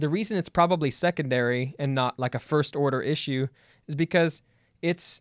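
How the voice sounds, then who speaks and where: A plain, everyday voice comes from a man at a fairly high pitch, with ordinary pitch variation and a moderate pace. The recording is very clean, dry and close, with no echo and a silent background. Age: 20s. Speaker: church worship director. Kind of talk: casual theological debate.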